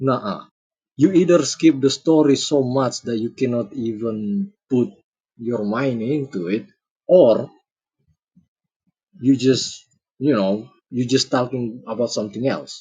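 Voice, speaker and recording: A man with a non-native accent speaks at a medium pitch, somewhat breathy and with ordinary pitch variation. His pace is fairly slow, with long, frequent pauses. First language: not English. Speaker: streamer reacting to videos. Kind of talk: casual live-stream commentary. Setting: live stream. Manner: halting, searching for words.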